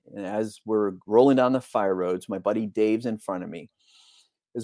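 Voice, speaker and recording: A man with a normal speaking voice talks at a moderate pace, his pitch fairly low with ordinary variation. The sound is dry and close with no echo, over a quiet background. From Texas. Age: 50s. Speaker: air force veteran and accident survivor. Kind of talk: interview, personal story. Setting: live podcast.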